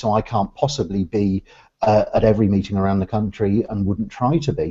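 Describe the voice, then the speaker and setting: With an Oxfordshire accent, a man speaks at a moderate pace in a fairly low pitch and a dark, mellow tone over a quiet background. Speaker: business networking organisation director. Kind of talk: interview conversation. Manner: hesitant, many fillers.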